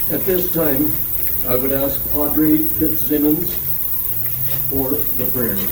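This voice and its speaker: A man with a fairly high pitch and fairly even intonation speaks at a very slow pace with long, frequent pauses, amid audible room echo and noticeable background noise. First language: French. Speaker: legion branch leader. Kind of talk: ceremony speech. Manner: halting.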